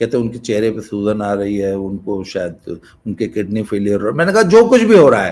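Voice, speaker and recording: Very wide swings in pitch mark this man's speech. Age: 60s. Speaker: YouTube talk channel host. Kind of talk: casual monologue.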